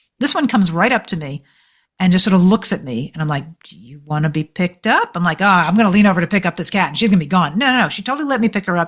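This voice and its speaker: A woman's somewhat breathy, medium-pitched voice, very fast, with lively intonation and big swings in loudness, on a very clean recording with a silent background. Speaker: author and journalist. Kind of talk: interview.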